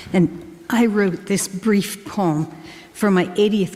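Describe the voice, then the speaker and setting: Very slow speech from a woman at medium pitch, with ordinary pitch variation and noticeable background noise. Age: 80s. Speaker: poet. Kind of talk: reading aloud own poetry.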